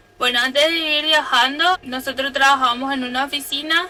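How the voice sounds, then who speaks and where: A woman's raised, projected voice at a high pitch and a moderate pace. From Paraguay, Capiatá (Central department). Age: 20s. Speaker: van-life vlogger. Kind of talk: casual chat.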